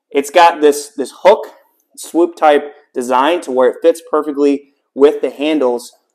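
A man speaks with ordinary pitch variation, and the background stays quiet. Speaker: home gym reviewer. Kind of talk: product review vlog. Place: garage. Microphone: camera far.

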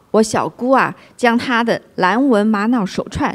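This woman's voice sits high in pitch. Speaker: co-host. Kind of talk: livestream chat.

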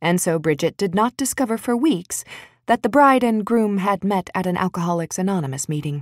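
The intonation is lively. The text is read aloud in a natural voice.

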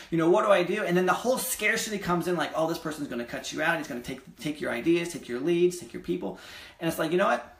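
Amid audible room echo, a man with a fairly high pitch talks very fast, his tone energetic and his intonation lively. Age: 20s. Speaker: real estate investor and vlogger; real estate investor vlogger. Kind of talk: casual vlog monologue. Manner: energetic, conversational; hesitant, many fillers. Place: home room. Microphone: webcam.

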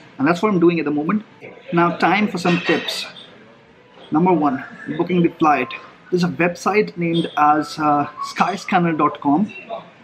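A man with a high voice speaks at a moderate pace, leaving long, frequent pauses, his pitch varying in an ordinary way against noticeable background noise. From India. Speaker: travel vlogger. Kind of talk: vlog monologue. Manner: casual, conversational. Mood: relaxed, friendly. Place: cafe. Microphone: phone near.

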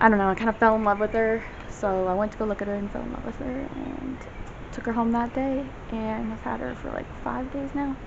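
A woman speaks at a fairly quick pace with fairly even intonation. Noticeable background noise runs behind her. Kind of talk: casual vlog chat. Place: home room. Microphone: phone near.

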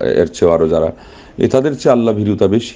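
A man's dark, mellow tone carries ordinary pitch variation.

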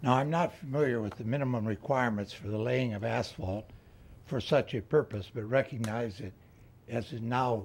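A somewhat breathy male voice at a moderate pace with ordinary pitch variation. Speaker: resident giving public comment. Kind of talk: public comment statement. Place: hall. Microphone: podium.

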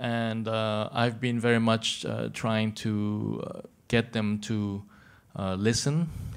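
A man speaks at a very slow pace. His intonation is fairly even. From Thailand, born in Argentina. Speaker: contemporary artist; conference panelist. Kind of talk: press conference speech. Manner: halting. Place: hall. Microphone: handheld.

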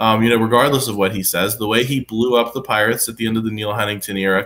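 With an American accent, a man talks very fast in a monotone, flat intonation. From western Pennsylvania. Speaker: sports journalist. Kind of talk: casual sports talk. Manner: hesitant, filler-heavy. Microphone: webcam.

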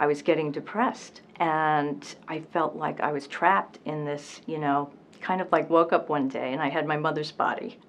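Here a woman talks in a very deep, low pitch with ordinary pitch variation. Her pace is moderate, and light background noise can be heard. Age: 60s. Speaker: weight loss patient. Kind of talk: interview answer. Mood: earnest, positive. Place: office.

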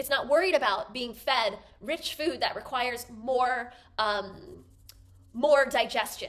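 A woman speaking at a high pitch. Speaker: wellness educator. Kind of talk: explanatory talk to camera. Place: home room.

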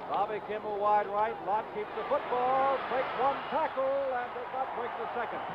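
A man's extremely high voice at a moderate pace, with hardly any pauses and noticeable background noise. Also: ordinary pitch variation. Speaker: play-by-play announcer. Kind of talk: 1970s TV sports play-by-play, live commentary on a college bowl game. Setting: stadium broadcast, TV commentary. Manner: steady, authoritative broadcaster cadence, reeling off names and numbers.

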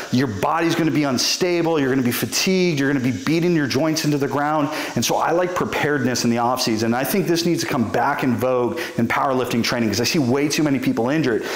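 Very fast speech with hardly any pauses and ordinary pitch variation, plus audible room echo. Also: man. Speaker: strength coach. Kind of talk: tutorial. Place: studio.

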